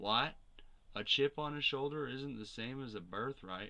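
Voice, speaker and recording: A man does a gruff, put-on character voice at a medium pitch and a moderate pace. His loudness swings widely. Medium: read story.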